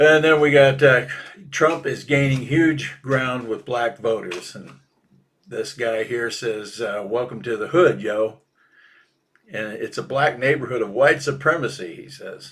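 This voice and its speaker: With an unremarkable speaking voice, a man talks at a fairly slow pace in a medium pitch, showing ordinary pitch variation and big swings in loudness. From Minnesota. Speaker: political cartoonist. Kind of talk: casual chat. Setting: live podcast.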